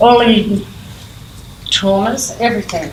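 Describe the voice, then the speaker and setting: A fairly high-pitched woman with an Australian accent at a fairly slow pace, amid noticeable background noise and audible room echo. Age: 80s+. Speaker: prison creative writing program leader. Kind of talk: conference talk. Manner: halting.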